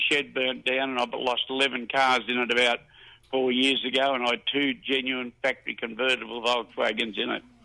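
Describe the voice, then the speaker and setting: With an Australian accent, a man speaks at a medium pitch and a moderate pace. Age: 80s+. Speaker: caller, retired motor trade worker. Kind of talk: casual chat.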